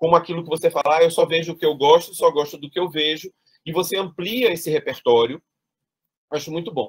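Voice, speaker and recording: Speaking at a fairly quick pace, this man has a high pitch and ordinary pitch variation. The sound is dry and close, with no echo. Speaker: thesis examiner, theatre academic. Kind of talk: academic thesis defense feedback. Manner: fast; hesitant, many repetitions.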